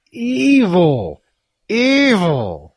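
A strained, put-on character voice is delivered at a middle pitch. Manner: strained, bearing down; dramatic, drawn-out.

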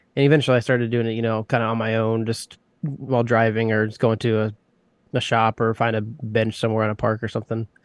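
In a Midwestern American accent, a man talks at a very fast pace with monotone, flat intonation. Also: medium pitch for a man, dry, close sound with no echo. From US Midwest. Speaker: pipe smoker and YouTuber. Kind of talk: interview.

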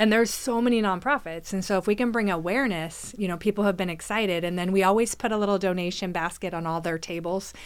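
A woman's very fast speech with hardly any pauses in an American accent, very cleanly recorded against a silent background. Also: medium pitch for a woman, ordinary pitch variation. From Oregon, McMinnville. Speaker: mortgage broker and community organizer. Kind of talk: casual interview chat.

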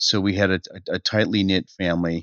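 In an American accent, a man speaks with a very deep, low pitch and fairly even intonation. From Boston area, Massachusetts. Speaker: venture capital investor. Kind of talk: interview.

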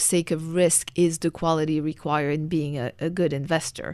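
A woman with a fairly low pitch and a French accent, on a very clean recording with a silent background. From France. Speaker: former hedge fund manager and author. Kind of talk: interview. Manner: halting.

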